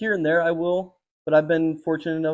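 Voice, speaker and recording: Here a man talks at a fairly quick pace and a fairly high pitch. He has a normal speaking voice. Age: 20s. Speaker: tattoo artist. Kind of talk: interview. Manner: casual.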